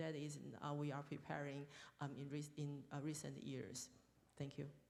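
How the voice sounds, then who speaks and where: Over audible room echo, a woman talks at a moderate pace in a very deep, low pitch with monotone, flat intonation. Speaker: deputy health minister, panelist. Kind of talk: panel discussion. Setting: stage at international forum. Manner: halting, hesitant.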